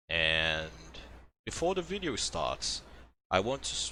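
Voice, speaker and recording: A man with a non-native accent speaks at a fairly slow pace in a bright, sharp tone with ordinary pitch variation, on a very clean recording with a silent background. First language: not English. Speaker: video game speedrunner. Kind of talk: tutorial. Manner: casual, with fillers.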